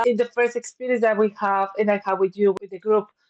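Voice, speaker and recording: With a Spanish accent, a woman speaks at a fairly high pitch with fairly even intonation. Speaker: counsellor and business owner. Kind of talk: interview conversation.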